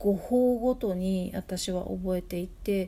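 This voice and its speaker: A woman with a dark, mellow tone and a somewhat breathy voice speaks with ordinary pitch variation. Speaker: podcast host, tutor and translator. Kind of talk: casual solo talk answering listener mail. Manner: halting, many fillers.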